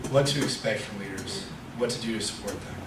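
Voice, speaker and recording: Noticeable background noise and audible room echo surround a man speaking with ordinary pitch variation. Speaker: lay preacher. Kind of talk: sermon. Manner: fast.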